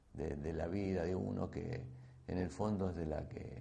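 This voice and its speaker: A man speaks fairly slowly in a very deep, low voice with a dark, mellow tone and vocal fry. His pitch varies in an ordinary way, and room echo is audible. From Argentina, Santa Fe province (San Jorge). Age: 60s. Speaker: biochemist and agribusiness entrepreneur. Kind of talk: invited talk. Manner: hesitant, many fillers and repetitions.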